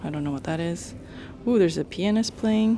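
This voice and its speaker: A woman speaks in an American accent at a medium pitch. Music plays in the background. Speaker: travel vlogger. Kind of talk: casual vlog narration. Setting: on a ferry.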